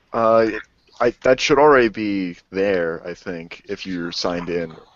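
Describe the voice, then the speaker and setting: A man with a very deep, low voice speaks in a New Jersey accent at a fairly slow pace. His pitch variation is ordinary, while his loudness swings widely. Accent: Jersey accent, self-described. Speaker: podcast co-host. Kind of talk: casual chat.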